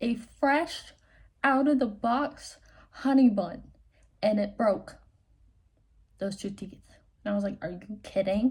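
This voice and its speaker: Breaking often into long pauses, a woman speaks very slowly in a somewhat breathy, fairly high-pitched voice. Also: ordinary pitch variation. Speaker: vlogger. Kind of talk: casual chat.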